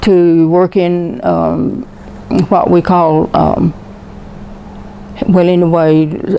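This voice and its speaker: Talking at a very slow pace with long, frequent pauses, a woman with an American accent keeps a fairly low pitch and very even loudness against noticeable background noise. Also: fairly even intonation. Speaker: war veteran. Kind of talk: oral history interview, personal storytelling.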